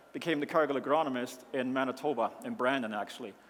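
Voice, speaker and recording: A man with a German accent, fairly high in pitch, at a fairly quick pace. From Germany, rural mountain area. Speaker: agricultural company founder. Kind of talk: conference presentation. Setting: stage with audience.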